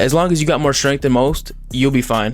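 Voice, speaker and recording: Music plays in the background as a man talks at a very fast pace and a medium pitch. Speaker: gaming YouTuber. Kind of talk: casual gameplay tutorial. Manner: rambling, halting with fillers.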